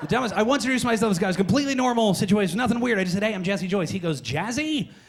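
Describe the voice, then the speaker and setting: A man's high voice at a very fast pace, lively intonation, and noticeable background noise. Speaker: stand-up comedian. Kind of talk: stand-up. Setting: stage with audience. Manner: jittery.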